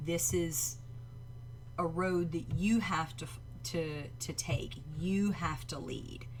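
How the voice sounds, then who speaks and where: With a Southern US accent, a woman speaks at a very slow pace with long, frequent pauses, lively intonation and a very deep, low pitch, in audible room echo. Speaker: livestream reaction show host. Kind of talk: live stream reaction chat. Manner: hesitant, many fillers.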